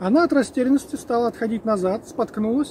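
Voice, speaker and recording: A man's high-pitched, fairly quick speech, dry with no echo, over noticeable background noise. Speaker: outdoor vlogger, storyteller. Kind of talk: casual vlog chat, storytelling. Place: forest.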